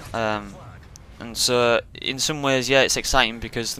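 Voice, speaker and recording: In a British accent, a man speaks at a medium pitch and moderate pace, with monotone, flat intonation and a bright, sharp tone. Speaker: pro gamer. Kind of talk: casual commentary. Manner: hesitant, many fillers.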